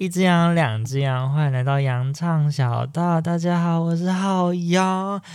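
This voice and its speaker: On a very clean recording with a silent background, a man with a high pitch speaks at a fairly slow pace with hardly any pauses, very even loudness and ordinary pitch variation. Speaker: podcast host. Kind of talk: casual chat.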